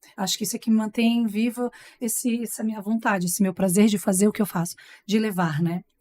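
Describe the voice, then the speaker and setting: A woman's dark, mellow voice at a fairly quick pace, with fairly even intonation and a dry, close sound with no echo. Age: 40s. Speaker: TV presenter and master of ceremonies. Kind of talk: casual chat.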